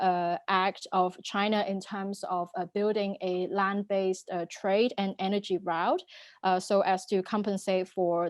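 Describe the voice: The woman's voice sits at a fairly low pitch, with little pitch movement. She speaks at a fairly slow pace.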